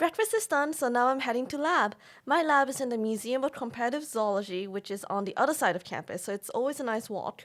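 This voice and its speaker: On a very clean recording with a silent background, a woman with a British accent speaks at a very fast pace with hardly any pauses, in a high pitch with lively intonation. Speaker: college student vlogger. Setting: outdoors, walking across campus.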